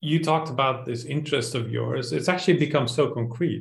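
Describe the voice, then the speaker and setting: A man speaks at a moderate pace. His voice is somewhat breathy. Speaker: podcast host. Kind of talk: interview conversation.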